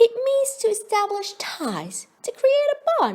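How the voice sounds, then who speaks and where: In a put-on character voice, a woman speaks at a fairly slow pace, squeaky and extremely high-pitched. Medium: read story.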